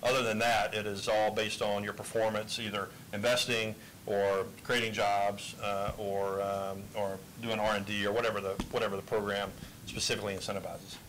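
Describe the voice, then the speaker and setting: A man speaks fairly quickly at a fairly low pitch, his intonation monotone and flat. Noticeable background noise is present. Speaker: chamber of commerce executive; panelist. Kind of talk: committee testimony. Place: hall. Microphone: handheld.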